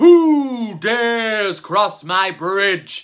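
A man's put-on character voice at a high pitch. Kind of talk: children's story reading.

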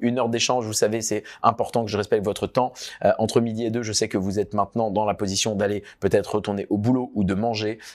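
A man rattles through his words at a very fast pace, with a quiet background behind him. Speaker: entrepreneur and business coach; workshop host. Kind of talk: online workshop wrap-up; online workshop talk to clients. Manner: animated. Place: office.

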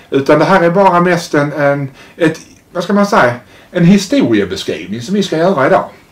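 A man talks at a fairly quick pace. His pitch is high. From Sweden, Malmö; Sweden. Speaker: interviewer. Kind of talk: interview. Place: home room. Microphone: lapel.

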